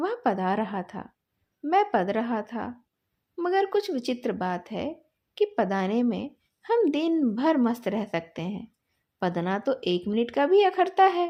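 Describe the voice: A woman's fairly high voice at a slow pace, with big pitch swings.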